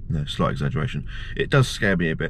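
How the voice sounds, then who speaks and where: A man speaks at a moderate pace with lively intonation. The sound is dry with no echo, and light background noise is present. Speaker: vlogger. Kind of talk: casual vlog chat. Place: car. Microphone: phone near.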